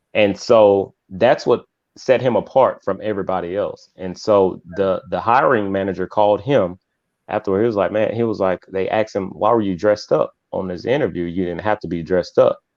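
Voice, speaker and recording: A plain, everyday voice from a man, fairly low in pitch, fairly quick in pace, with fairly even intonation. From US South, Mississippi. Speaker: author and youth mentor. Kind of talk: interview.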